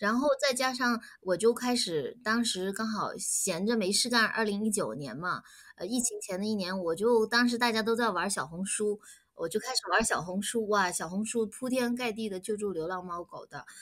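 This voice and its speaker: A plain, everyday voice from a woman, fairly high-pitched, moderately paced, with ordinary pitch variation. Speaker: animal rescue volunteer and business owner. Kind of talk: casual interview. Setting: online call.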